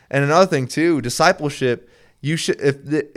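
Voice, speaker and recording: An unremarkable speaking voice on a very clean recording with a silent background. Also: man. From Minnesota, US Upper Midwest. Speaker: sports ministry representative. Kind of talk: casual chat.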